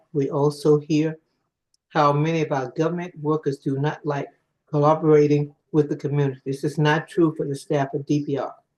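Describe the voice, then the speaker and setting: Monotone, flat intonation at a moderate pace. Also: man. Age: 80s+. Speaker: public witness, community association member. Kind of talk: public testimony. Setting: hybrid council hearing.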